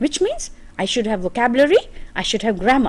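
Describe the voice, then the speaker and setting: A woman talks with an Indian accent in a high voice. Her pace is moderate and her pitch swings very widely. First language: Hindi. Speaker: English teacher. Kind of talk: lecture.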